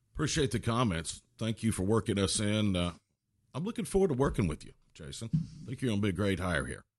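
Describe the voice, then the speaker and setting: Against a quiet background, a man with a fairly low pitch talks very fast, his pitch swinging very widely and his loudness shifting a lot. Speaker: sports podcast host. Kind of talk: scripted intro; podcast interview.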